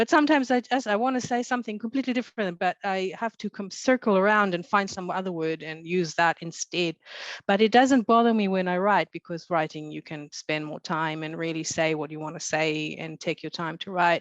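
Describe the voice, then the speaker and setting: Over a quiet background with a dry, close sound and no echo, a woman with a non-native accent talks at a fairly quick pace in a medium pitch, with lively intonation and hardly any pauses. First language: not English. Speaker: author. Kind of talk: panel discussion. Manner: halting.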